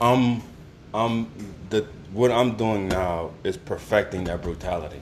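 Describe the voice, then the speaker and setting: A man talks at a fairly slow pace with long, frequent pauses. His pitch is fairly low with ordinary variation, and there is noticeable background noise. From Louisiana. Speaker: podcast host. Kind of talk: casual chat.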